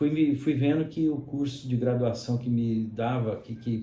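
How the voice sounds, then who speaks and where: A man speaks at a moderate pace in a medium pitch, his voice somewhat breathy with a dark, mellow tone. Audible room echo surrounds the recording. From Brazil, São Paulo state near Minas Gerais (Mococa). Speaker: pharmacist and university lecturer. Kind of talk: interview conversation. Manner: frequent fillers (né, é).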